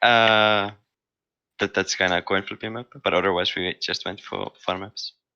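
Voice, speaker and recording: Against a quiet background, a man with fairly low pitch speaks in a monotone, flat intonation with a bright, sharp tone and a dry, close sound with no echo. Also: moderate pace. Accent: non-native. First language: not English. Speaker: competitive gamer, team player. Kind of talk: post-match interview. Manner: halting.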